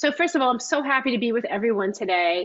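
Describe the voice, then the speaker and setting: A woman is speaking. She has a New York accent. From US Northeast, Long Island, New York. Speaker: cookbook author and baking instructor. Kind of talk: live cooking class. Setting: video call. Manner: fast.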